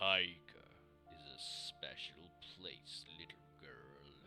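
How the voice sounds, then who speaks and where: With clear music in the background, a man uses a soft-spoken, put-on character voice at a very slow pace. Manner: gentle, storytelling.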